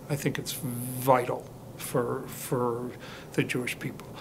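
A man with a medium pitch speaks with vocal fry.

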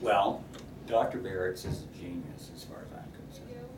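Loud background noise under a man's moderate-paced speech. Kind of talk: interview answer. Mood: warm, grateful.

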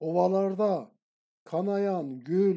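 A man's high-pitched voice with a dark, mellow tone, fairly even intonation and a very slow pace. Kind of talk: poetry reading.

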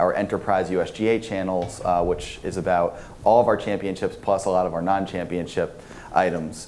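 Music plays in the background as a man with a very deep, low voice speaks at a moderate pace in a monotone, flat way. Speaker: conference panelist. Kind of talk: panel discussion answer. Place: hall.

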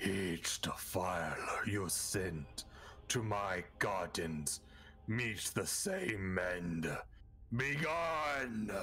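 A man in a put-on character voice speaks at a very slow pace and fairly low pitch, with clear background noise.

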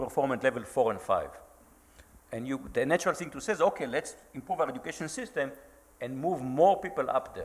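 Pitched fairly high, a man's voice rushes by at a very fast pace. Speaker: computer science professor. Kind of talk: panel discussion. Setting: stage with audience. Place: hall.

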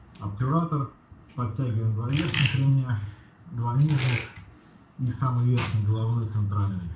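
A man's voice at a fairly slow pace with ordinary pitch variation, over loud background noise. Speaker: product reviewer. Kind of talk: product review tutorial.

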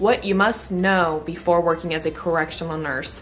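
Faint music plays in the background as a woman speaks at a fairly low pitch with fairly even intonation. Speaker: nurse vlogger. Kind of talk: casual vlog chat. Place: home room. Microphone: phone near.

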